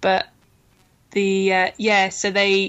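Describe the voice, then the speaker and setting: With an English accent, a woman speaks at a fairly slow pace. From England. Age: 30s. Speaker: football player. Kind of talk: casual interview.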